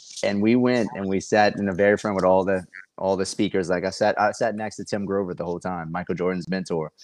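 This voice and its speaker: Against a quiet background, a man with an American accent talks at a very fast pace in a very deep, low voice with fairly even intonation. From US South, Louisiana. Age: 40s. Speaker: real estate investor and coach. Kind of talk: casual podcast interview. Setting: video call.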